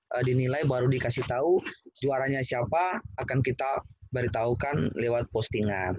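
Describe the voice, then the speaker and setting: The man's voice carries a somewhat breathy quality. He keeps to a moderate pace. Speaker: poet and event host. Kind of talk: hosting an online poetry competition. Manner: animated.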